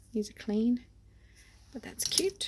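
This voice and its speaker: Speaking at a fairly slow pace in an Australian accent, a woman sounds somewhat breathy, with lively intonation. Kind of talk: unboxing haul video.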